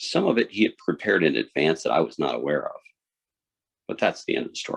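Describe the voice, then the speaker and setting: The talking comes at a very fast pace. The recording has a dry, close sound with no echo. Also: man. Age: 60s. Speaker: speech contest contestant. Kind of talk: contest speech.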